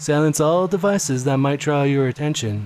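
Over noticeable background noise, a man with a fairly high pitch speaks in a calm, soothing tone with ordinary pitch variation. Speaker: hypnosis audio creator. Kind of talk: guided hypnosis induction. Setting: recorded audio for solo listening. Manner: slow, soothing, hypnotic, with gentle pauses; calm, soft-spoken, dreamy.

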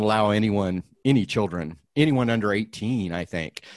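A man talks in a normal speaking voice at a medium pitch. His pitch varies in an ordinary way, and his pace is moderate. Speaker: podcast host. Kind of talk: casual interview, podcast hosting. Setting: video call.

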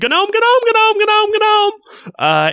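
A put-on character voice comes through shrill and at an extremely high pitch. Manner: shrieking.

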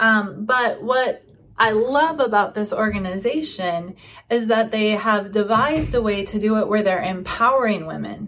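A woman has a plain, everyday voice at a fairly high pitch. She speaks at a moderate pace with ordinary pitch variation. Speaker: podcast host. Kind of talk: casual interview chat. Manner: warm, encouraging.

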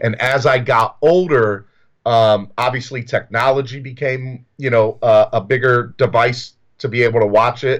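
A man with an American accent and a normal speaking voice, medium in pitch, at a fairly slow pace with fairly even intonation over a quiet background. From US South. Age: 30s. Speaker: recovering addict. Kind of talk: personal testimony. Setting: video call.

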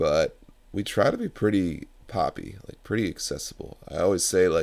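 A man's low voice with vocal fry, a slightly mellow tone, lively intonation and a moderate pace

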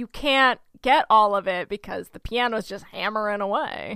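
With an American accent, a woman speaks at a moderate pace. Her tone is bright and sharp. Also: dry, close sound with no echo, very clean recording, silent background. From Oklahoma. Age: 30s. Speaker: podcast co-host. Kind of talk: casual chat.

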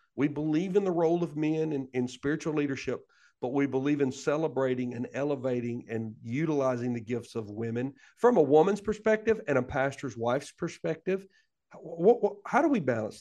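A man with an Alabama accent, fairly high pitch, dark, mellow tone, lively intonation and fairly quick pace, over a quiet background. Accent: Southern US (Alabama). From US South. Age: 40s. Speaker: pastor. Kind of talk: casual interview. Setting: backstage of a worship center.

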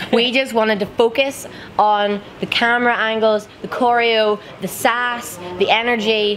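A woman with an Irish accent, her fairly high pitch paired with an animated, upbeat tone, over noticeable background noise. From Ireland. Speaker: Eurovision contestant singer. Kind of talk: casual interview chat. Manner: excitable, animated, upbeat.

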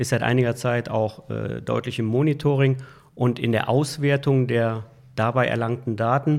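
In a very clean recording with a silent background, a man with a plain, everyday voice speaks at a moderate pace, his medium pitch held in fairly even intonation. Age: 60s. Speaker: IT services manager. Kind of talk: interview. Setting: office.

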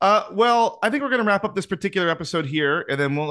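Very fast, enthusiastic speech with lively intonation and a bright, sharp tone. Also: man, quiet background. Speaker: podcast host. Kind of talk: casual chat.

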